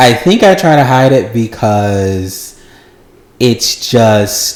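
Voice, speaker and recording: With an American accent, a man speaks at a very slow pace and medium pitch, his loudness very even and his intonation lively. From US South, Georgia. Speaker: podcast guest. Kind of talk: casual chat. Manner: slow, deliberate.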